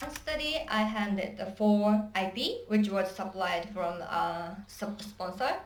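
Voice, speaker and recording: Very slow speech with a Japanese accent over noticeable background noise. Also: woman, medium pitch for a woman, ordinary pitch variation, hardly any pauses. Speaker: job applicant. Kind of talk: job interview. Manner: halting.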